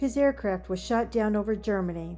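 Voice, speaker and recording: Music is playing behind the speaker. She is a woman talking at a moderate pace. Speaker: oral historian, interviewer. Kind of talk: documentary introduction narration.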